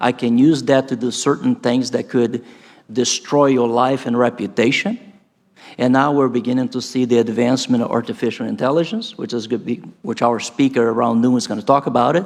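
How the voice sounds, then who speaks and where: A man with a Brazilian Portuguese accent speaks at a medium pitch. His pace is fairly quick. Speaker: professor. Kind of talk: conference talk. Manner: animated.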